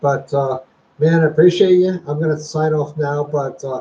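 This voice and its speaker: The voice is somewhat breathy, with an American accent. Its tone is dark and mellow. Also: man. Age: 60s. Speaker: retiree YouTuber, former hospital software programmer. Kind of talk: casual livestream chat. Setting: livestream at home.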